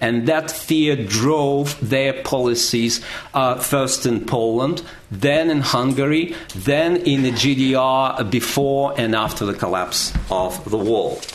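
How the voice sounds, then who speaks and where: With a Russian accent, a man talks very slowly at a medium pitch, his loudness very even and his pitch varying in an ordinary way, amid noticeable background noise and audible room echo. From Russia, Moscow. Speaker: history professor. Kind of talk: panel talk.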